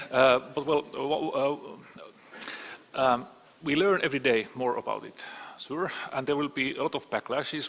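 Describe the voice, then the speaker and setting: A man with a Finnish accent speaks at a medium pitch with fairly even intonation over noticeable background noise. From Finland. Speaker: panelist, cyber security expert. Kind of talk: panel discussion. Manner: halting, many repetitions.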